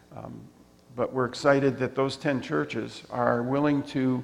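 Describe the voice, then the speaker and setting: A man with a plain, everyday voice and ordinary pitch variation. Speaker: missionary. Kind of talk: missionary report to a congregation. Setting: church.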